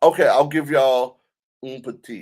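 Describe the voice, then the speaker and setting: In a Southern US accent, the speaker sounds animated at a fairly slow pace. The recording is very clean, with a silent background. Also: man. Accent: Southern US accent, noticeable. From US South. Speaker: DJ and livestream host. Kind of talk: casual livestream chat.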